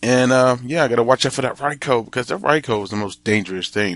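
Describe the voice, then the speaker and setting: Against a quiet background, a man with an unremarkable speaking voice talks at medium pitch, with ordinary pitch variation. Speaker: gaming commentator. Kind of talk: video game commentary. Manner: casual, with fillers.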